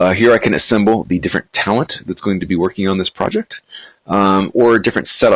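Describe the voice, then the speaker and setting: A man's bright, sharp tone at a fairly quick pace, dry and close with no echo. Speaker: software company founder giving demo. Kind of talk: tutorial. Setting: webinar. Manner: many filler words; fast.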